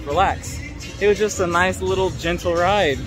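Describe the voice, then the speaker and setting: Clear music sits in the background while a man speaks with a dry sound and no echo. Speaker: vlogger. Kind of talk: casual vlog chat. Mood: amused, laughing. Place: street. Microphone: phone near.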